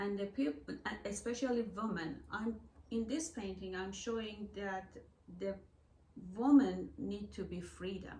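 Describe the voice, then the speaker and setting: In a Persian accent, a woman speaks at a fairly slow pace with audible room echo. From Iran. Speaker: artist and gallery owner. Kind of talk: interview. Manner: halting.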